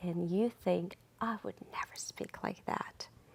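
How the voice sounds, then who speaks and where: A woman speaks with a non-native accent at a moderate pace. The sound is dry and close, with no echo. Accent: foreign. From outside the US. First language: not English. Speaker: nonprofit volunteer, social media and PR worker. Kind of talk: TV interview.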